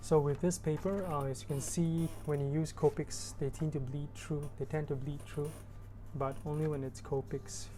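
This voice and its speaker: This woman's voice has a very deep, low pitch, a dark, mellow tone and vocal fry. Audible room echo surrounds it. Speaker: artist narrating sketchbook tour. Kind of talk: voiceover narration. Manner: monotone, droning; laid back, relaxed.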